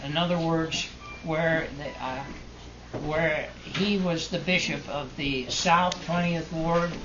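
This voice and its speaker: A man's high-pitched, monotone, flat voice at a very slow pace, with noticeable background noise. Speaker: grandfather. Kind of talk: family storytelling. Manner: hesitant, halting.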